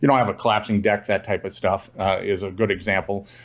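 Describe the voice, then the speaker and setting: Talking at a very fast pace, a man with a Minnesotan accent keeps his intonation fairly even. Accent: Minnesota. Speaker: real estate investor. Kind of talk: interview.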